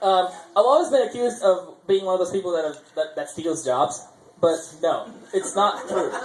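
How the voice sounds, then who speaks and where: Amid noticeable background noise and audible room echo, a high-pitched man speaks at a moderate pace with lively intonation. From India, Chennai, Tamil Nadu. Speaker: amateur comedian. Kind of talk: stand-up. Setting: stage with audience at open mic. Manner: halting, many fillers and restarts.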